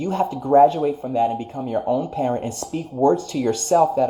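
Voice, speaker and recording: Lively intonation marks a man's fairly high pitch in an ordinary speaking voice. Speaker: spiritual life coach. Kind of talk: livestream motivational talk. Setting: live stream.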